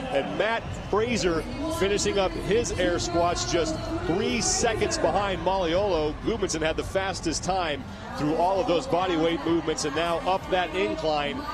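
Over noticeable background noise, a man with a high-pitched voice sounds energetic and holds a very even loudness throughout. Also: ordinary pitch variation. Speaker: play-by-play commentator. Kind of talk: live sports commentary. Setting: broadcast booth at the stadium. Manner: fast, energetic play-by-play, quickly calling out athletes' positions and places.

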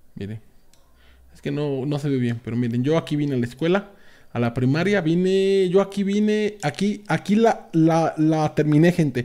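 This man has a dark, mellow tone and lively intonation, speaking at a moderate pace. The background is quiet. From Mexico, Veracruz (Mariano Escobedo, near Orizaba); Veracruz, Mexico. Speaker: gaming youtuber; streamer. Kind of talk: casual video tour. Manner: halting, repetitive. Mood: nostalgic, relaxed. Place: home room.

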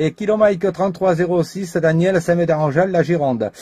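Against a quiet background, a man speaks with a high pitch and a dark, mellow tone. His intonation is fairly even and his pace fairly slow. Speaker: CB radio operator. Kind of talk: radio contact chat. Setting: CB radio transmission. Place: home room.

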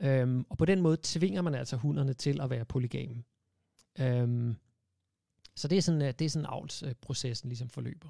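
Against a quiet background, a man with a dark, mellow tone talks at a moderate pace with long, frequent pauses, the sound dry with no echo. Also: ordinary pitch variation. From Denmark. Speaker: animal rights campaigner; guest. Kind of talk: casual interview. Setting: studio. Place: studio. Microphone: studio mic.

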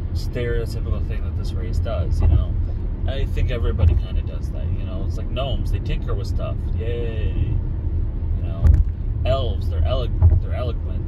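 A man keeps a moderate pace, broken by long, frequent pauses, over loud background noise. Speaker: vlogger. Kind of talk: casual vlog chat. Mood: relaxed, musing. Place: car. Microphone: phone near.

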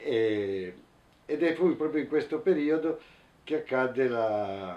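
A man speaks at a moderate pace with a dark, mellow tone. Light background noise sits behind him. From Italy, Turin; Italy. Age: 60s. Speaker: anarchist activist, witness; witness. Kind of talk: testimony interview; interview answer. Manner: halting, with fillers and repetitions. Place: home room.

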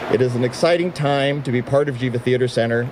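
Noticeable background noise is heard behind a man speaking. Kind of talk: formal prepared speech. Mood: proud, upbeat. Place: street. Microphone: podium.

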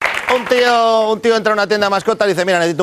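Light background noise sits behind the voice. The speaker is a man. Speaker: comedian. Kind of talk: stand-up comedy joke telling. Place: stage. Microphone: lapel.

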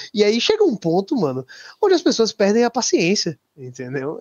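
A man at a moderate pace, with a Brazilian accent. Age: 20s. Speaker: bitcoin maximalist guest. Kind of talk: casual chat.

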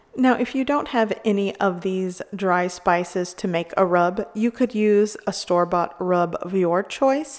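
A woman speaks with ordinary pitch variation over a quiet background. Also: fairly slow pace. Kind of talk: cooking tutorial. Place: kitchen.

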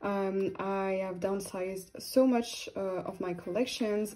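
A woman with a French accent at a fairly slow pace, fairly even intonation, and light background noise. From France. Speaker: YouTuber and K-pop photocard collector. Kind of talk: casual vlog chat. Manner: hesitant, many fillers and frequent laughter. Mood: relaxed, chatty. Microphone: phone near.

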